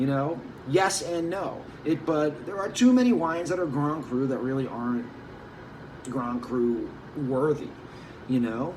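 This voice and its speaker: A man's fairly high-pitched voice in an animated tone with lively intonation and long, frequent pauses, amid audible room echo and noticeable background noise. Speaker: wine merchant. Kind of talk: casual monologue.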